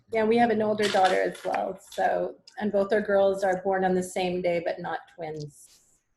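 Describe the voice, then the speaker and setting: A woman's voice in a French Canadian accent, with fairly even intonation and hardly any pauses. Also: medium pitch for a woman, moderate pace. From Quebec, Canada. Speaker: parent. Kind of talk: video call introduction.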